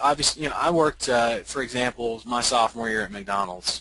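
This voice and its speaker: Fairly quick speech with an American accent and ordinary pitch variation, over noticeable background noise. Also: man. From US South, Birmingham, Alabama. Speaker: LinkedIn marketing expert, military veteran. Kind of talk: webinar interview. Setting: online webinar. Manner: hesitant, many fillers and repetitions.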